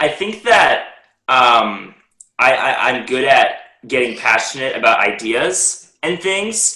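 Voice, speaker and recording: A loud man with a bright, sharp tone and very wide pitch swings. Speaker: public speaking coaching client. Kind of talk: interview. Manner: clear pronunciation.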